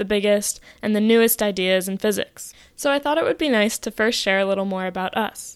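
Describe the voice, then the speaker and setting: A woman with an American accent and an ordinary speaking voice, fairly high in pitch, with lively intonation and a fairly quick pace, in a very clean recording with a silent background. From New York City. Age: 20s. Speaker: physics graduate student and podcast co-host. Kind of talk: casual chat.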